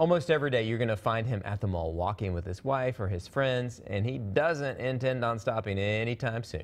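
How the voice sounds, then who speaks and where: In a plain, everyday voice, a man at medium pitch speaks at a fairly quick pace with ordinary pitch variation and hardly any pauses. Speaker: TV news anchor. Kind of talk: local TV news read.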